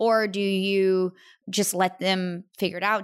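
A woman's medium-pitched voice in an animated tone, on a very clean recording with a silent background. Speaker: podcast host interviewer. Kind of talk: casual interview chat. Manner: animated, laughs often.

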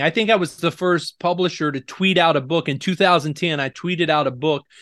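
The speaker has an American accent. The pace is moderate and the intonation fairly even. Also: man. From Oklahoma, US. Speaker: book publisher. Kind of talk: interview. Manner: repeats words, occasional stumbles.

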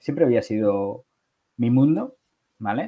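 At a fairly slow pace, a man with an unremarkable speaking voice talks at a medium pitch with ordinary variation. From Catalonia, Barcelona. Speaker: e-commerce entrepreneur. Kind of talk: interview.

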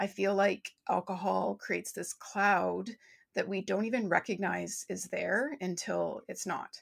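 A woman speaks at a fairly slow pace on a very clean recording with a silent background. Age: 40s. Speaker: business and well-being mentor. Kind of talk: casual interview chat.

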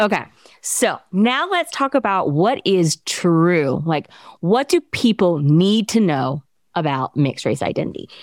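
Very wide pitch swings mark this fairly slow delivery, recorded very cleanly against a silent background with a dry, close sound and no echo. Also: woman, medium pitch for a woman. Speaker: podcast host and PhD student. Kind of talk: interview, casual chat.

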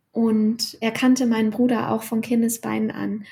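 A woman speaks very slowly in a fairly high, somewhat breathy voice with a dark, mellow tone and flat, monotone intonation. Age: 40s. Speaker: freelance writer and author. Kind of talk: interview conversation.

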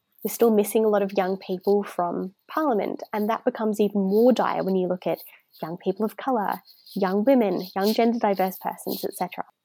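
With an Australian accent, a woman speaks fairly quickly in a dark, mellow, medium-pitched voice with fairly even intonation, the sound dry and close with no echo. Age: 20s. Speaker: youth activist and speaker. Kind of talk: interview.

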